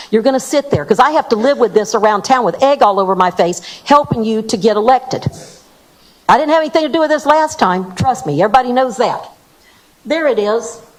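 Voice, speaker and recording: Over noticeable background noise, a woman with a fairly high pitch speaks at a very fast pace with lively intonation. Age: 60s. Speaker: public commenter at council meeting. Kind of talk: public comment at council meeting. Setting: town council meeting. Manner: confrontational.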